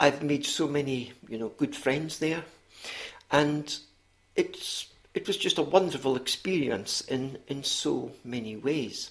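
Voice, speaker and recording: Speaking very slowly, a man with a Scottish accent uses a fairly high pitch. Each word comes out drawn out. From Scotland. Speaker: author and retired teacher. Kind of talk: interview. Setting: podcast. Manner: hesitant, many fillers.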